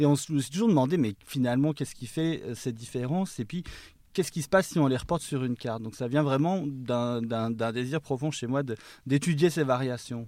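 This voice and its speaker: In a very clean recording with a silent background, a man with a dark, mellow tone and medium pitch speaks at a fairly quick pace with ordinary pitch variation. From Savoie, eastern France. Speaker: linguistics lecturer and author. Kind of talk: interview.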